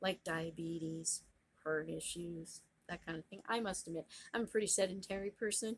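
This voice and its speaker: Delivered at a moderate pace, a plain, everyday voice holds a fairly even intonation. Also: woman, fairly low pitch for a woman. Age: 50s. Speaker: lifestyle vlogger. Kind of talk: casual monologue vlog.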